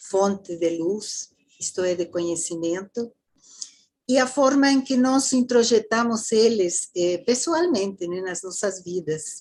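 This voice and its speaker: With a Mexican accent, the speaker talks at a very slow pace with lively intonation. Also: woman, medium pitch for a woman. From Mexico. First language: Spanish (speaking Portuguese). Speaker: theosophy lecturer. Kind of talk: lecture.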